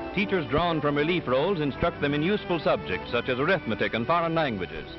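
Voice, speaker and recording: The speech comes very fast with lively intonation, in an American accent. Music plays in the background. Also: man. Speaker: newsreel narrator. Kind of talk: 1930s newsreel narration. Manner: formal, measured, declamatory.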